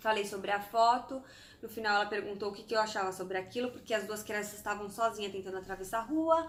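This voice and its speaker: Speaking at a very fast pace, a woman with medium pitch and ordinary pitch variation makes big swings in loudness. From Brazil, Santos. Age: 30s. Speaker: vlogger. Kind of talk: casual vlog storytelling.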